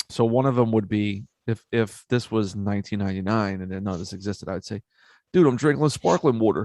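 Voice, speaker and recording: The speaker has a Philadelphia accent and a dark, mellow tone, talking at a fairly quick pace. The sound is dry and close with no echo, against a quiet background. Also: man, fairly low pitch for a man, ordinary pitch variation. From US, Philadelphia. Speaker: podcast host. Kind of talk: casual chat.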